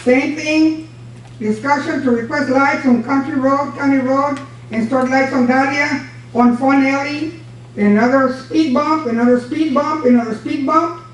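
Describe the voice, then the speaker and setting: In an American accent, a woman talks at a fairly slow pace in a high voice with fairly even intonation, with audible room echo and noticeable background noise. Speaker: former county judge. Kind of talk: public comment at county meeting. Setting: county commissioners' court meeting. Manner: loud; forceful.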